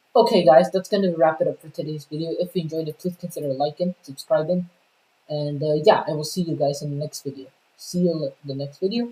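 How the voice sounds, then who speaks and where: A woman's very deep, low-pitched voice at a very fast pace. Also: ordinary pitch variation. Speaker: YouTuber vlogger. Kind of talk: casual vlog monologue. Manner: halting, stuttering with many fillers.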